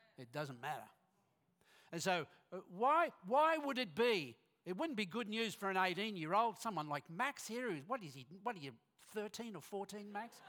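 With an Australian accent, a man speaks at a moderate pace in a high pitch and a bright, sharp tone, using very wide pitch swings, big swings in loudness and long, frequent pauses. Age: 60s. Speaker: guest preacher. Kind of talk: sermon. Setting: church.

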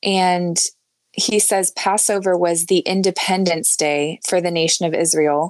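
A woman with an ordinary speaking voice, fairly low pitch, fairly even intonation, very even loudness and a fairly slow pace. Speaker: podcast host. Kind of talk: casual chat. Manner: warm, laughs often.

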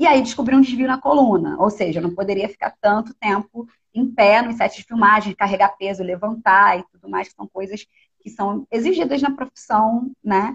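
A somewhat breathy woman talks at a fairly high pitch with ordinary pitch variation and big swings in loudness, in a dry, close sound with no echo. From Rio de Janeiro, North Zone suburb. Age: 30s. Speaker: filmmaker. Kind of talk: interview conversation. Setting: online live stream.

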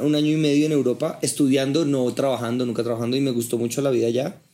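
The recording is very clean, with a silent background. A man speaks at medium pitch with ordinary pitch variation and a dark, mellow tone. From Colombia, Bogotá. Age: 30s. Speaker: sales training entrepreneur. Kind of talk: casual interview over drinks.

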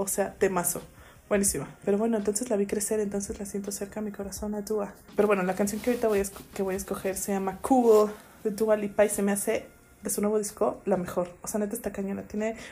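A woman's medium-pitched voice at a very fast pace. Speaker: podcast co-host. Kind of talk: casual chat.

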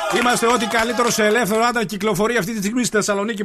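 Over noticeable background noise, a man with a high pitch talks in a raised, projected voice. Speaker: radio host. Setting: studio. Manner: animated; fast, bantering.

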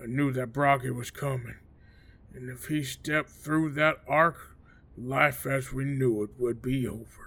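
Speaking at a fairly slow pace, a man delivers monotone, flat intonation at medium pitch in a bright, sharp tone. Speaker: paranoid hermit club owner character. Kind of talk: audio drama character dialogue and recounting. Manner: gruff, jittery, reclusive.

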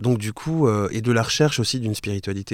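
A man speaks fairly quickly, captured on a very clean recording with a silent background. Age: 40s. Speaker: podcaster. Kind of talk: casual interview chat. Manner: hesitant, many fillers and repetitions.

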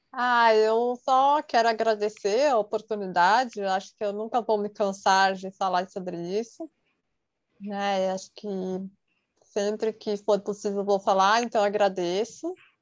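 Over a quiet background, a normal speaking voice carries fairly even intonation. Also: woman, medium pitch for a woman, fairly slow pace. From São Paulo, Brazil. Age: 30s. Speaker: psychologist. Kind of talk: casual interview.

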